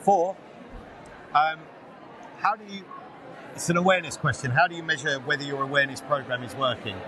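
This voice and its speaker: Amid noticeable background noise and audible room echo, a man with a fairly high pitch talks fairly quickly, using ordinary pitch variation, big swings in loudness, and long, frequent pauses. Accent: English. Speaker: podcast host. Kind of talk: casual interview. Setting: live at a conference.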